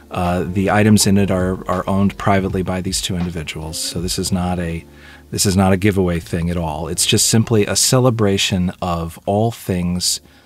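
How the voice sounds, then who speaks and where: Faint music plays in the background as a man with a very deep, low pitch speaks at a moderate pace with fairly even intonation, the sound dry with no echo. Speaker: video host. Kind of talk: casual vlog chat. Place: home room.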